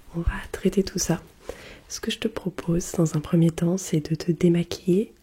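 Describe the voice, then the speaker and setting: A woman speaks fairly slowly at a fairly low pitch, keeping her intonation fairly even. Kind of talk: ASMR role play skincare routine. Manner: soft-spoken, slow.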